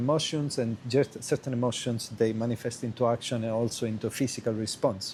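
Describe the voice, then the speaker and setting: This man speaks at a medium pitch with a flat, monotone intonation. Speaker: qigong teacher. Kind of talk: video lesson answering student question. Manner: halting, many fillers and restarts.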